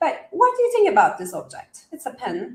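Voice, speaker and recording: A woman with a non-native accent. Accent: noticeable foreign. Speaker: coach explaining a wellness methodology. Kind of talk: live interview. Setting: live stream with chat.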